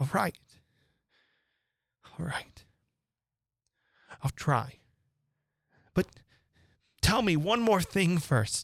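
A man puts on a character voice, high-pitched and fairly bright, with vocal fry, a slightly husky edge and lively intonation. He goes at a very slow pace with long, frequent pauses.

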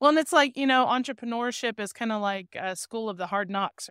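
In a dry, close sound with no echo, a woman with an ordinary speaking voice talks at a fairly quick pace with lively intonation. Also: very clean recording, silent background. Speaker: podcast host. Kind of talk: casual interview.

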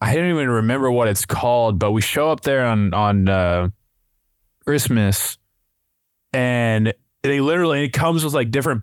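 A man talks in a medium register. Nothing intrudes on this very clean recording, whose background is silent. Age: 30s. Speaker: podcast host. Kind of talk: casual chat. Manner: animated.

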